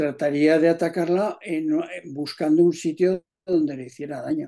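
Against a quiet background, a man speaks in a dark, mellow tone at a fairly high pitch. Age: 70s. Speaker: amateur tennis player. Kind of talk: casual chat. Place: home room. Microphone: video call.

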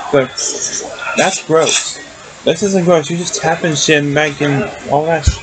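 Over noticeable background noise, a man with a fairly high pitch talks at a fairly slow pace, with long, frequent pauses. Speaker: video reactor. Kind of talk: angry rant, profane reaction commentary. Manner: loud, indignant, sweary; animated, scornful. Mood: annoyed, disgusted. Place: home room. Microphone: webcam.

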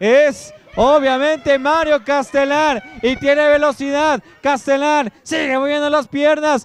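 A man speaks in an extremely high pitch at a very slow pace with fairly even intonation. Noticeable background noise runs underneath. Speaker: play-by-play commentator. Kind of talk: live sports commentary. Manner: clipped, breathless call of each play.

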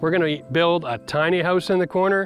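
Over faint background music, a man talks at a very fast pace in a high voice with ordinary pitch variation, the sound dry with no echo. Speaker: home renovation channel host. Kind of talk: casual vlog chat. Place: garden.

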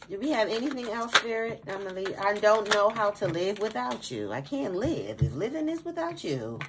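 This voice has an animated tone and very wide pitch swings. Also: woman. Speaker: tarot reader. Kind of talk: tarot reading.

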